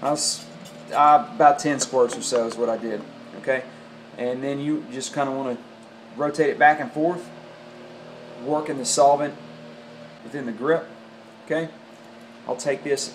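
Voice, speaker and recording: A man with a Southern US accent speaks at a moderate pace, leaving long, frequent pauses. His pitch is fairly high, his intonation fairly even, and there is audible room echo. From US South. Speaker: golf club repair tutorial maker. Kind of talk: tutorial. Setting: home workshop or garage. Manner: casual, many fillers.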